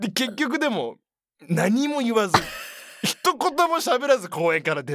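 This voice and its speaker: A man talks at an extremely high pitch. His pitch swings very widely at a fairly slow pace. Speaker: podcast co-host. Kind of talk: casual chat. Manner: animated.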